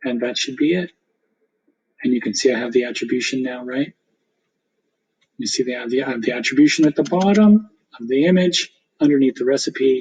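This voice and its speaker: A man talks at a fairly quick pace with ordinary pitch variation, broken by long, frequent pauses. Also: medium pitch for a man. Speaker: teacher. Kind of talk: tutorial. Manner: fast.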